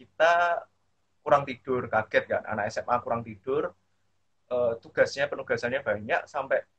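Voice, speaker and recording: The man speaks at a fairly quick pace. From Central Java, Indonesia. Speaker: alumni speaker. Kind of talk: casual online talk. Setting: video call.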